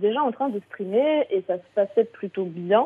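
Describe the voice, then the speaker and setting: In an unremarkable speaking voice, a woman talks at a moderate pace with lively intonation. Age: 30s. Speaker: content creator and streamer. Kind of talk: casual radio interview. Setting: radio show.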